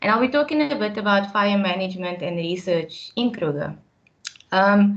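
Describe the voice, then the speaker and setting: The voice is a woman's, at medium pitch. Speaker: park scientist. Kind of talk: webinar talk. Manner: fast when excited.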